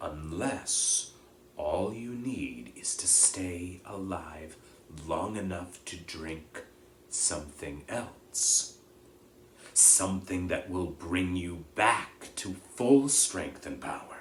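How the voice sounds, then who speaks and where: Over clear background noise, a man puts on a character voice, speaking at a very slow pace with a very deep, low pitch. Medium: read story. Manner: measured, solemn, quiet.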